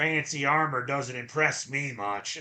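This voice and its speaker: A gruff, put-on character voice from a man, fairly high in pitch, at a fairly slow pace. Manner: gruff, manly.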